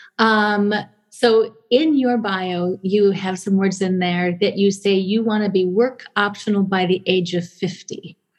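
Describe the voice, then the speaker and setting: A woman speaks at a medium pitch with a somewhat breathy quality. Her pace is fairly slow and her intonation fairly even. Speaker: podcast host and speech-language pathologist. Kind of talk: interview conversation.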